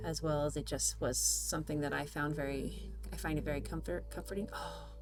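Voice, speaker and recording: A woman with an American accent talks fairly quickly while noticeable noise sounds behind her. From Southern California. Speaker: face painter, makeup artist. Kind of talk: livestream tutorial chat. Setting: livestream, home studio. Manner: casual, chatty.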